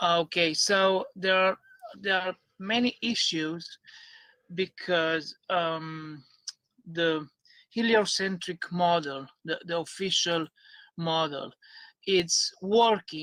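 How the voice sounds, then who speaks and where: A man's high-pitched voice with a non-native accent, a bright, sharp tone, fairly even intonation, a very slow pace, long, frequent pauses and a dry, close sound with no echo. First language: not English. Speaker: YouTuber, concave earth proponent. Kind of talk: debate. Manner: halting.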